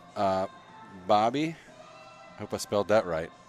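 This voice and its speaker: With music in the background, a man speaks in an animated tone at a fairly low pitch. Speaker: podcast co-host, gym owner. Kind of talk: casual chat. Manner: casual, animated.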